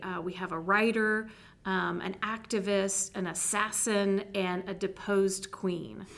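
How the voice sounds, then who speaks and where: A normal speaking voice delivers its words with fairly even intonation. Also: woman. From Texas. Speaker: theater director and department chair. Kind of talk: interview.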